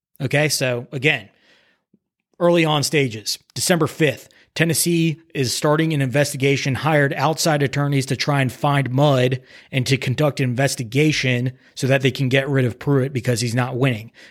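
A man with an unremarkable speaking voice, fairly high-pitched for a man, speaks at a very even loudness with fairly even intonation on a very clean recording with a silent background. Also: moderate pace. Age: 20s. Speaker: sports podcast host. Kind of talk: solo sports commentary podcast.

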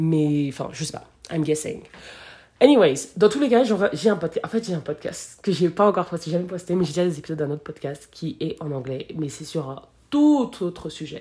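A woman speaks at a fairly low pitch with a dark, mellow tone. Her intonation is lively, and her loudness swings widely. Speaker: podcast host. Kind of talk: solo podcast monologue. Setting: recording while traveling in Colombia. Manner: fast; many filler hesitations. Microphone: no microphone, device mic.

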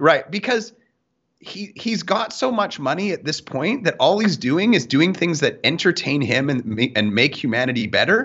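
A man with a Canadian accent talks at a moderate pace. His high voice swings very widely in pitch. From Canada. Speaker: sales podcast co-host. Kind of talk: casual chat.

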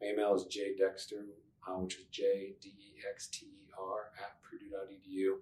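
A man with a fairly low pitch talks at a very slow pace, somewhat breathy and flat, monotone in intonation. His loudness swings widely. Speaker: university career advisor and podcast host. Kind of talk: casual interview chat. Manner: laughs often, relaxed.

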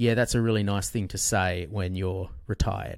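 In an Australian accent, a man with fairly low pitch speaks at a moderate pace with fairly even intonation, in a very clean recording with a silent background. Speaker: author and financial journalist. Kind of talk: interview conversation.

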